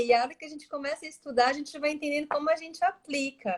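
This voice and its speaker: A woman with a strong São Paulo accent speaks at a high pitch. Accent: strong São Paulo (paulistano). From São Paulo, Brazil. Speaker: astrologer. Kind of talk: casual interview chat. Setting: Instagram live video call.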